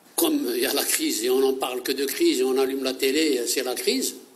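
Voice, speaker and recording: A man at a moderate pace, with audible room echo. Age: 60s. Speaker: unemployed volunteer. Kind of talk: interview testimony. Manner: halting.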